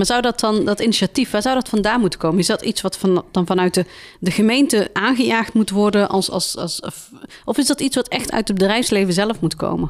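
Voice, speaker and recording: A woman's medium-pitched, an unremarkable speaking voice, fairly quick in pace with ordinary pitch variation. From Tilburg. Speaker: podcast host. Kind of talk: interview.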